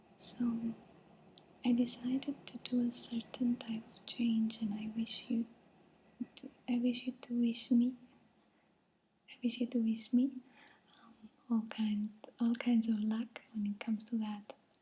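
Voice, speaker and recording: A woman's fairly high, monotone, flat voice, broken by long, frequent pauses and big swings in loudness. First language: not English. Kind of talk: casual talk to camera. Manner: soft-spoken, hesitant.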